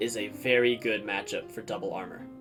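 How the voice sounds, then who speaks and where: A man's fairly quick speech is accompanied by background music. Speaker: video game player and streamer. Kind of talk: game strategy tutorial.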